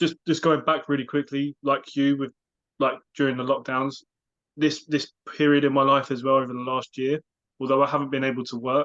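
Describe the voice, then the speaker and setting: A man with a British accent speaks at a fairly high pitch in a monotone, flat intonation. The sound is dry and close, with no echo. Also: fairly quick pace. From UK. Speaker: life coach and podcast co-host. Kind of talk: casual chat.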